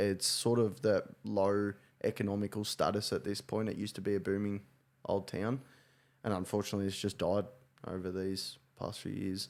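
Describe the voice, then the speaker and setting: This man has an Australian accent and a fairly low pitch, with fairly even intonation. He talks at a moderate pace on a very clean recording with a silent background. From Victoria, Australia (Gippsland). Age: 20s. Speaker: podcast co-host. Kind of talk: casual chat.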